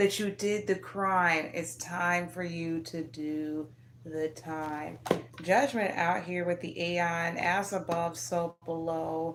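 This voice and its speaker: Over noticeable background noise, a woman speaks very slowly with a fairly low pitch. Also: ordinary pitch variation. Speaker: tarot reader. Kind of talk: tarot reading livestream. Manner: animated, halting.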